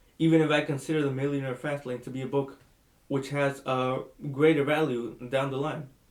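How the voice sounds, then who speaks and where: Speaking with a Spanish accent, a man delivers his lines at a moderate pace in a fairly high, monotone, flat voice. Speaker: book reviewer vlogger. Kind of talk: casual book review monologue. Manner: halting, many fillers and restarts.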